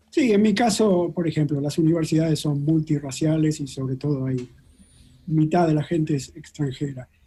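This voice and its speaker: In a Rioplatense accent, a man with a fairly high pitch and a dark, mellow tone talks at a moderate pace with ordinary pitch variation. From Argentina. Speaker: molecular biologist. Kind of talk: interview.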